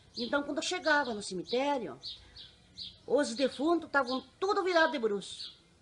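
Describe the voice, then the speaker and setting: A high-pitched woman's voice with very wide pitch swings and long, frequent pauses over noticeable background noise. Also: moderate pace. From Paraná interior, Brazil (Laranjeiras do Sul area). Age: 50s. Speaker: general services worker. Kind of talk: life story interview.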